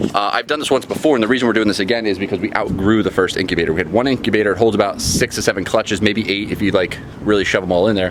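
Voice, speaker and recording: A man speaks very fast, with hardly any pauses. His pitch is fairly low, and background noise is noticeable. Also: ordinary pitch variation. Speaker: reptile breeder and DIY vlogger. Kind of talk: casual how-to vlog. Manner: energetic, chatty.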